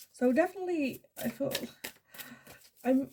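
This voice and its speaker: The woman here speaks at a fairly slow pace. Her pitch varies in an ordinary way. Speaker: tarot card reader.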